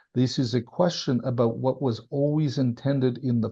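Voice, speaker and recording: The intonation stays fairly even while a somewhat breathy voice carries a dark, mellow tone. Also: man. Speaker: former senior government official. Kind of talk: interview conversation. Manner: emphatic.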